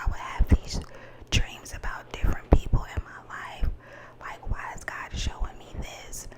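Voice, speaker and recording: A whispering woman at a moderate speed, noticeable background noise behind her. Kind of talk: ASMR whispered rambling, telling personal secrets to camera. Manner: soft, confiding, slightly emotional.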